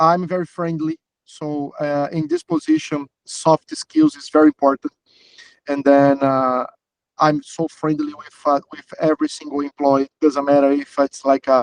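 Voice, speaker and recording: Recorded with a dry, close sound and no echo, a man speaks at a fairly slow pace in a monotone, flat intonation. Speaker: job candidate. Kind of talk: job interview. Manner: halting, many fillers.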